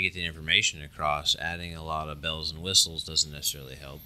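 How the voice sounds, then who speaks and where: Mumbling in a monotone, flat way, a man speaks with a very deep, low pitch. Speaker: mechanical engineering professor. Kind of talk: casual interview.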